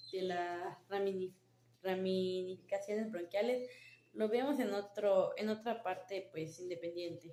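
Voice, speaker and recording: The voice has a dark, mellow tone and fairly even intonation, moving at a fairly slow pace. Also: woman, medium pitch for a woman. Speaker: nursing student. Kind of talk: class presentation. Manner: halting.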